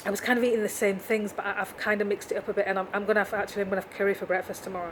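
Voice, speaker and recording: Over noticeable background noise, a woman at a medium pitch speaks in a flat, monotone way. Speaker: vlogger. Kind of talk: video diary.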